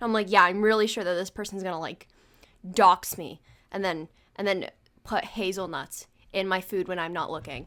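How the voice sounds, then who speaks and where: A woman with a medium pitch speaks at a moderate pace in an animated, bright, sharp tone, leaving long, frequent pauses. The recording is very clean, with a silent background. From United States. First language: not English. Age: 20s. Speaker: podcast host. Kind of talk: casual chat.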